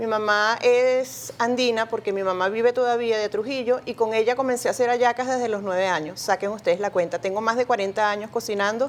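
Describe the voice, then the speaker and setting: A woman talks in a normal speaking voice at a fairly high pitch. Her pace is fairly quick, with fairly even intonation and hardly any pauses. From Venezuela. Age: 60s. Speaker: cook. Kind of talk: interview.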